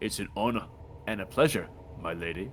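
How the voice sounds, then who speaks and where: Over clear background noise, a man puts on a gruff character voice pitched fairly low and speaks at a fairly quick pace. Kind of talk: formal, courtly. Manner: gruff, awkwardly regal.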